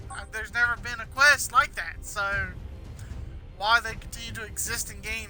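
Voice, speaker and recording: A man talks at a fairly quick pace while music plays behind him. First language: not English. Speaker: gaming streamer. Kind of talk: live gameplay commentary. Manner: mumbles some words; halting, repeats words.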